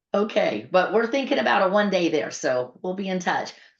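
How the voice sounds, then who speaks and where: Audible room echo surrounds a woman's voice. Her pitch swings very widely. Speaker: patient advocacy nonprofit leader hosting town hall. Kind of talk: online town hall announcements. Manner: fast; talkative.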